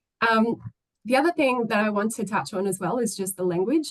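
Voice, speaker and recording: A woman talks at a fairly quick pace with ordinary pitch variation, in a dry, close recording with no echo. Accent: Australian. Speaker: former government delegate to a UN commission. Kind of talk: webinar presentation. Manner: fast; hesitant, many fillers.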